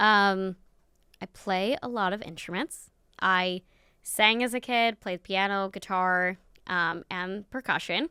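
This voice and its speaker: A woman with an American accent speaks at medium pitch with ordinary pitch variation. The recording is very clean, with a silent background and a dry, close sound with no echo. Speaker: podcast host and neurodiversity consultant. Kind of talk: podcast interview. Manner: animated.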